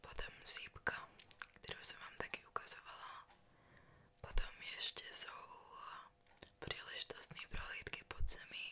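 A woman whispering at a fairly slow pace, with long, frequent pauses and big swings in loudness. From Czech Republic. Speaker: tour guide. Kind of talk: ASMR. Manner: whispered. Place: home room. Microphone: studio mic.

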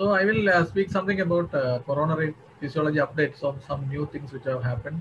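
This man talks at a very fast pace with ordinary pitch variation. Light background noise sits behind him. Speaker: cardiologist. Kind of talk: lecture. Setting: video call. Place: home room. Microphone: webcam.

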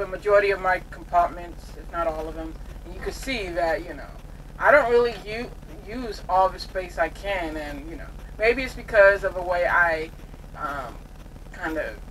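A woman speaks at a moderate pace, with big swings in loudness. There is light background noise. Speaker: truck driver vlogger. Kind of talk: casual vlog chat. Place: car. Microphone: camera far.

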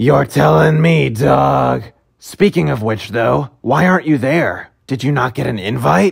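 A man puts on a raspy character voice at a medium pitch, swinging his pitch very widely. He delivers it at a fairly slow pace. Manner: casual, bro-ish, exasperated.

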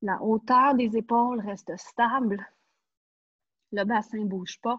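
A woman speaks with a Quebec accent in a somewhat breathy voice against a quiet background. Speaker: pilates instructor. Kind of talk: online fitness class instruction. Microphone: earbuds.

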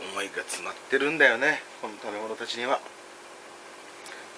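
The speech moves at a moderate pace. Noticeable background noise runs underneath it. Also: man. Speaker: vlogger. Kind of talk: casual vlog chat. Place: home room. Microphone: phone near.

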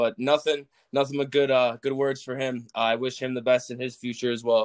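A man with an American accent, flat and monotone, at a fairly quick pace. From US Midwest, suburban Chicago. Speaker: college football player. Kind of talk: casual interview.

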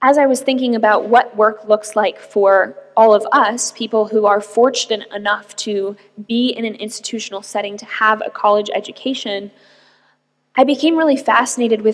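A woman with an unremarkable speaking voice talks at a moderate pace in a fairly high pitch with fairly even intonation. Her loudness swings widely against a quiet background. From US, Arizona. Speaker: tech entrepreneur; guest. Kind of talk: keynote talk. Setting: stage with audience. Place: hall. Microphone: podium.

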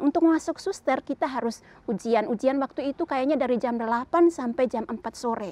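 A woman speaks at a high pitch with a dark, mellow tone and lively intonation. Her fairly quick delivery sounds dry with no echo. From Flores, East Nusa Tenggara, Indonesia; East Nusa Tenggara, Indonesia. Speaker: nun. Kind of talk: testimony. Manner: casual, hesitant with fillers. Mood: calm, warm. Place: garden. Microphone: lapel.

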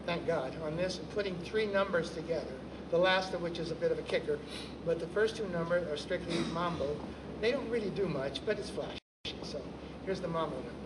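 A man at a fairly quick pace with ordinary pitch variation, under loud background noise. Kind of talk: storytelling stage patter. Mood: animated, humorous. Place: stage.

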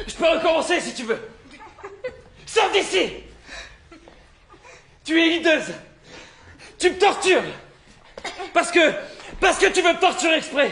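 Doing a put-on character voice, a man talks at an extremely high pitch with vocal fry, lively intonation, a fairly slow pace and long, frequent pauses. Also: fairly bright tone.

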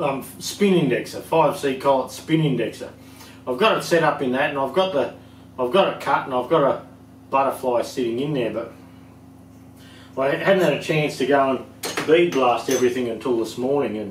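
Light background noise and audible room echo surround a man speaking at a moderate pace with ordinary pitch variation. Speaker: tractor parts seller. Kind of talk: casual workshop chat. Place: workshop.

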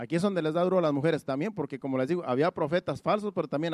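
A man's voice with ordinary pitch variation, a dry, close sound without echo and a very clean recording over a silent background. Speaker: pastor. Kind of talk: sermon. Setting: church.

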